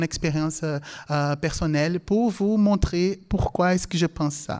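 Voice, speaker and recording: A man speaks with a Portuguese accent at a high pitch, ordinary pitch variation and a moderate pace. The recording is very clean, with a silent background. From Brazil, then England as a teen. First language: Portuguese (speaking French). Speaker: language lecturer. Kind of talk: lecture. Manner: halting, many fillers.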